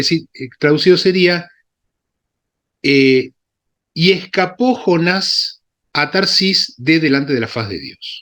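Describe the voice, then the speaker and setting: Lively intonation and a bright, sharp tone mark this man's high voice as he talks at a fairly slow pace. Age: 60s. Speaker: Bible scholar and synagogue Torah reader. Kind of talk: lecture with Q&A discussion. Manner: halting, with many fillers and self-corrections.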